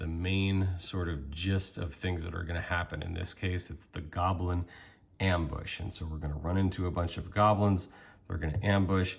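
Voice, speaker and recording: This man's voice is very deep and low, and somewhat breathy. He speaks at a moderate pace with fairly even intonation. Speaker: tabletop RPG game master. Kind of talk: tutorial talk to camera.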